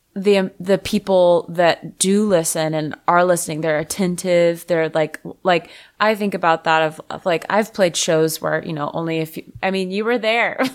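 A woman with an unremarkable speaking voice talks at a moderate pace and with fairly even intonation, on a very clean recording with a silent background. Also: fairly low pitch for a woman. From Florida, Fort Lauderdale. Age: 30s. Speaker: singer-songwriter. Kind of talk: casual chat.

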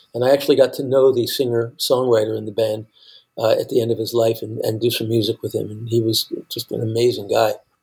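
A very fast, somewhat breathy male voice of medium pitch, with monotone, flat intonation. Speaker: songwriter and musician. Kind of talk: casual chat. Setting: remote call.

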